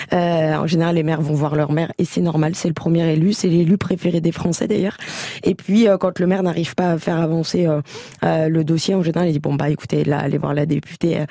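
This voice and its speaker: A woman's fairly low voice at a fairly quick pace, monotone and flat in intonation and very even in loudness, over noticeable background noise. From France, Champagne-Ardenne (Châlons-en-Champagne). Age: 30s. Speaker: member of parliament. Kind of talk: radio interview.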